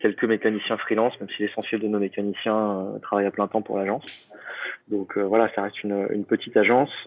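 Over noticeable background noise, a man with a fairly low pitch speaks at a very fast pace in a monotone, flat intonation. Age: 30s. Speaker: travel entrepreneur. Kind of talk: interview.

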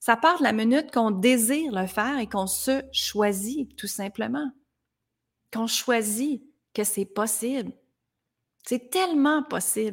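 On a very clean recording with a silent background, a woman with a fairly high pitch and lively intonation speaks at a very slow pace, leaving long, frequent pauses. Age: 40s. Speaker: life coach. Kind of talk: motivational monologue.

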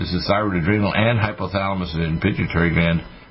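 Noticeable background noise runs under the recording. The intonation is fairly even. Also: man. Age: 60s. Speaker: radio health show host and physician. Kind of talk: radio talk and product pitch. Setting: studio.

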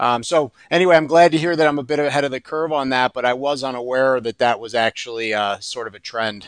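A man speaks in a normal speaking voice at a medium pitch, with ordinary pitch variation. His pace is fairly quick, and the background is quiet. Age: 40s. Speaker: endodontist. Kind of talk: casual chat.

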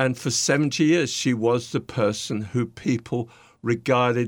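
A man with a British accent, medium pitch, ordinary pitch variation and a fairly slow pace, on a very clean recording with a silent background. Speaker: podcast guest, leadership coach.

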